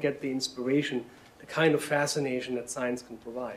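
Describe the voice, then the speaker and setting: A man with a German accent talks at a fairly quick pace over noticeable background noise. His pitch is medium, with ordinary variation. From Germany. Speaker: science education director. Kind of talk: panel presentation.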